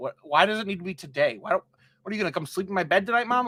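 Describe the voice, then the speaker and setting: Projecting his voice, a man speaks at a very fast pace with a bright, sharp tone. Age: 30s. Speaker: podcast host and streamer. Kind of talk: casual chat. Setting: studio.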